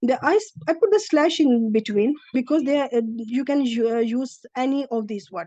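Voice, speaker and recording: A woman with a Pakistani accent speaks at a moderate pace in a high, dark and mellow voice with ordinary pitch variation. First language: Urdu. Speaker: Arabic language teacher. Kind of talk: lecture. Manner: halting.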